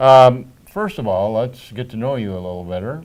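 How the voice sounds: A man with a fairly low pitch speaks at a moderate pace with lively intonation and a slightly mellow tone, and some room echo can be heard.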